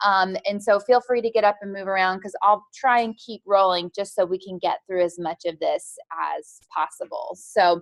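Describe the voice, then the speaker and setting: A woman is heard in a dry, close sound with no echo. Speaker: doctor teaching a nutrition class. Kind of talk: lecture. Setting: clinic classroom at a podium. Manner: fast; informal.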